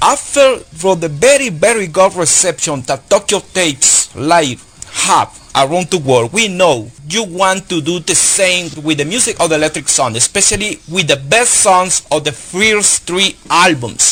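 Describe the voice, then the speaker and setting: A man with a high voice and lively intonation talks at a fairly slow pace amid noticeable background noise. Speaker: radio host. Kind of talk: live radio interview.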